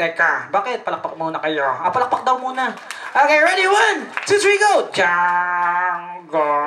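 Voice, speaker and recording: A woman's fairly slow speech with very wide pitch swings over light background noise. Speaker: party host. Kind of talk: comic emcee interview banter. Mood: playful, teasing. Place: hall. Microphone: handheld.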